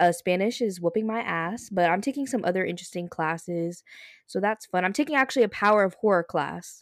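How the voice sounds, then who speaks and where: Speaking fairly quickly, a woman uses a plain, everyday voice at medium pitch with ordinary pitch variation on a very clean recording with a silent background. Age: 20s. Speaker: podcast co-host and college student. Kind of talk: casual chat.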